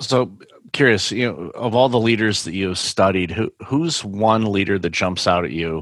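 A man with an unremarkable speaking voice talks at a moderate pace in a fairly low pitch, with ordinary pitch variation over a quiet background. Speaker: podcast host and keynote speaker. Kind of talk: interview.

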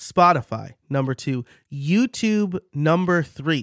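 A man's very slow speech with a slight New York accent and ordinary pitch variation, dry and close with no echo, on a very clean recording with a silent background. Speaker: podcast coach and host. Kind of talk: solo educational monologue. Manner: conversational, informal.

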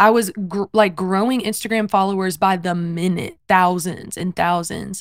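The recording is very clean and the background silent. A woman talks at a fairly slow pace. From US South, South Carolina. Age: 20s. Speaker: worship singer. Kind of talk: casual interview.

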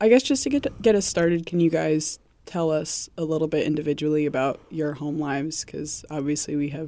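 A dark, mellow tone with vocal fry and ordinary pitch variation, fairly quick, in a very clean recording with a silent background. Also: woman. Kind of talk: casual interview conversation.

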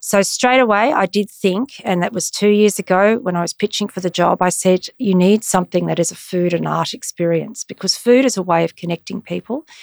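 A woman's medium-pitched voice with an Australian accent, ordinary pitch variation, a fairly quick pace, hardly any pauses, and a dry, close sound with no echo. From Australia, Brisbane. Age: 50s. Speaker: arts executive. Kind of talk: interview.

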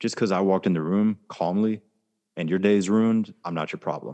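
Against a quiet background, a man with an American accent talks in a very deep, low voice, the sound dry and close with no echo. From Germany and Florida, US South. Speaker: army veteran and life coach. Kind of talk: interview conversation.

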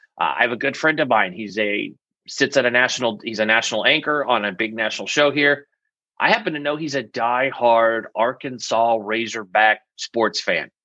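A man's medium-pitched voice with a bright, sharp tone and ordinary pitch variation, in an American accent over a quiet background. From US Pacific Northwest. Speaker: media coach and PR firm CEO. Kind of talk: interview, casual expert talk. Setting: video call. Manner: fast, animated.

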